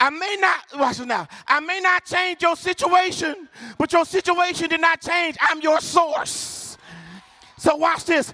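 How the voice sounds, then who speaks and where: A man with an American accent speaks in a raised, projected voice at an extremely high pitch. His tone is animated, and there is noticeable background noise. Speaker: preacher. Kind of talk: sermon. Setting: church with live congregation. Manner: call-and-response, urgent and fervent, pushing the crowd to shout back.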